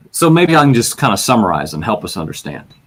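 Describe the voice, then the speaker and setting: This man has a Virginian accent. He speaks at a very fast pace. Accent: Virginian American. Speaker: bible teacher podcaster. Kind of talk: bible teaching podcast. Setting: webcam recording. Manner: casual, self-correcting.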